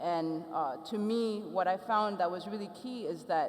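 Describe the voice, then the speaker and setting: Noticeable background noise runs behind the speech. A woman talks with ordinary pitch variation. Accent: Ethiopian. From Ethiopia, raised abroad from age five. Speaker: photographer and artist. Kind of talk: panel talk.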